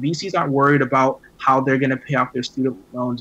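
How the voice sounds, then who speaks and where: A man's fairly even intonation amid noticeable background noise. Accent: American. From US South, Miami. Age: 20s. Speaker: tech startup founder. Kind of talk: interview.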